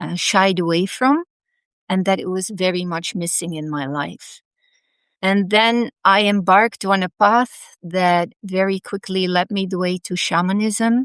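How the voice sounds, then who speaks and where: A woman talks at a fairly slow pace in a Dutch accent. The sound is dry and close with no echo, set against a quiet background. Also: medium pitch for a woman, ordinary pitch variation. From Netherlands. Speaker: past life therapist. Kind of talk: interview.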